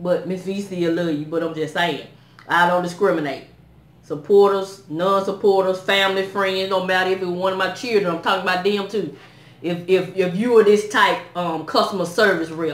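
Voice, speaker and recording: A woman talks with fairly even intonation. Room echo is audible. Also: moderate pace. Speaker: vlogger. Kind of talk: casual vlog chat. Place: home room. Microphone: phone near.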